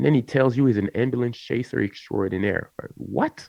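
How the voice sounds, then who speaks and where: Speaking with a French accent, a man uses an animated tone at a medium pitch, with vocal fry in his voice. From France. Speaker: content creator. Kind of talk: casual chat.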